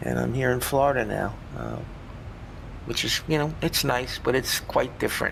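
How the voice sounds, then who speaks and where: A man with a New York accent speaks at a moderate pace, with long, frequent pauses. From Long Island, New York. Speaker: stream participant. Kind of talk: casual chat.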